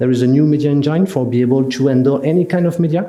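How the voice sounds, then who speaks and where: A man with a French accent speaks with ordinary pitch variation. Noticeable background noise and audible room echo surround him. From France. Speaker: software solutions specialist. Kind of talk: product presentation. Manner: halting, many fillers.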